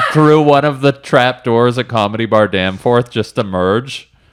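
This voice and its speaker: Using a plain, everyday voice, a man speaks at a fairly slow pace with a medium pitch and ordinary pitch variation. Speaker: stand-up comedian. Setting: comedy podcast conversation.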